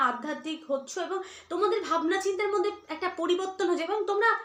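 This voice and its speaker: A woman's voice is raised and projected. It has a bright, sharp tone. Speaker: tarot reader. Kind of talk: tarot reading.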